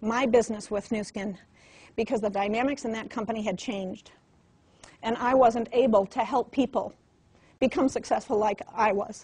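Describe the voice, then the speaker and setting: A woman's fairly high, somewhat breathy voice with ordinary pitch variation and long, frequent pauses. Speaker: network marketing trainer. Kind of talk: motivational training talk. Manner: fast; animated.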